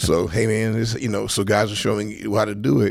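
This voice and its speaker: Speaking at a fairly quick pace, a man with an American accent uses vocal fry. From South Central Los Angeles. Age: 50s. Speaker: football coach, former NFL player. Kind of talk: casual interview chat.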